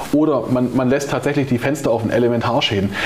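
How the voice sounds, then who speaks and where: Amid noticeable background noise and audible room echo, a man with a medium pitch and ordinary pitch variation speaks at a very fast pace. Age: 40s. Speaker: security company owner. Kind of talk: interview. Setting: company office.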